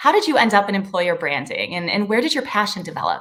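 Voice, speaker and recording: A woman talks in an American accent with an unremarkable speaking voice. Her pitch is fairly high and her intonation lively. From Chicago, US Midwest. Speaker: podcast host. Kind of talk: interview.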